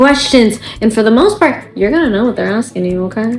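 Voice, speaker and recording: A woman with an American accent, fairly high pitch and ordinary pitch variation, over noticeable background noise. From United States (Bangladeshi family). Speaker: mom vlogger. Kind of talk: casual vlog monologue. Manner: animated.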